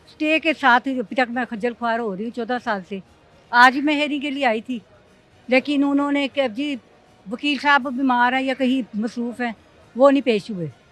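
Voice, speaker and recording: Music plays in the background as a woman speaks at a moderate pace. Her voice is high in pitch, with ordinary pitch variation. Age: 60s. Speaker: property owner in legal dispute. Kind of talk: news interview.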